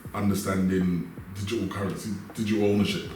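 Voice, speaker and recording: Speaking fairly quickly in a London accent, a man uses a fairly low voice. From South West London. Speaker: entrepreneur. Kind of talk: interview answer.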